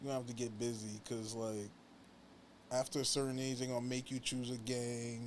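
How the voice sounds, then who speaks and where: A man speaks in a monotone with flat intonation and a New York accent. The room echo is audible. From New York, Long Island (Hempstead). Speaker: pro wrestler and musician. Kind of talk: casual interview chat.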